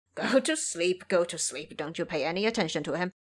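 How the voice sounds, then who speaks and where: It's a put-on character voice, raspy and cackling at a middle pitch. The pace is fairly quick. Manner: cackling, taunting.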